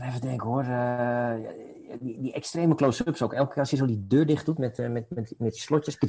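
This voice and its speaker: Fairly quick and fairly even in intonation, a man's medium-pitched voice carries a dark, mellow tone. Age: 40s. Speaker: film educator. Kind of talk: casual chat.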